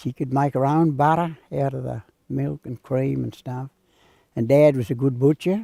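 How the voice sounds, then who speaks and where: A man speaks with a rural Australian accent in a dark, mellow tone, the sound dry and close with no echo. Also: medium pitch for a man, ordinary pitch variation, moderate pace. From Australia, western New South Wales. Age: 80s+. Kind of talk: interview storytelling.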